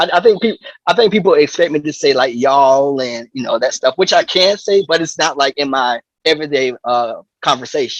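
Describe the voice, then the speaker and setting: Speaking at a fairly quick pace with a slight Southern US accent, a man has a fairly high pitch, recorded with a dry, close sound and no echo. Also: lively intonation. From US South. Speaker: drummer. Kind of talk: interview. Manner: halting.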